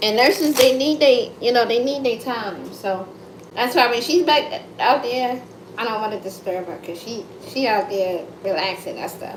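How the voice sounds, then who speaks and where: A woman with an American accent talks at a moderate pace in an animated, high-pitched voice, her intonation lively and her volume swinging widely. The room echoes audibly, and background noise is noticeable. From United States. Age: 30s. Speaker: content creator livestreamer. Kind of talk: casual livestream chat. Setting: live stream at home. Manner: loud.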